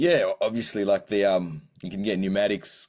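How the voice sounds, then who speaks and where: A man speaks with an Australian accent at a fairly low pitch. The recording is very clean with a silent background. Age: 30s. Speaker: singer-songwriter. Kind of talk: interview. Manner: halting.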